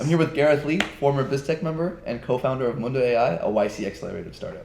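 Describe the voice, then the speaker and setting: A man's fairly high voice moves at a very fast pace with lively intonation while noticeable background noise carries on. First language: not English. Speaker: student podcast host. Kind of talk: podcast interview.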